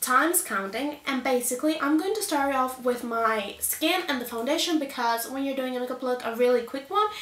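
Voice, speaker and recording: A woman with a high voice projects loudly with ordinary pitch variation. Audible room echo surrounds her. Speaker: beauty youtuber. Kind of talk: makeup tutorial. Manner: animated.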